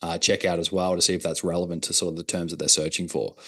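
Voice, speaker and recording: A man with an Australian accent speaks at a very deep, low pitch against a quiet background. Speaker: digital marketing consultant. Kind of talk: workshop presentation.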